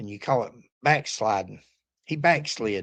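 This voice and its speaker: With an Appalachian accent, a man speaks fairly slowly with lively intonation. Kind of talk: casual talk to camera.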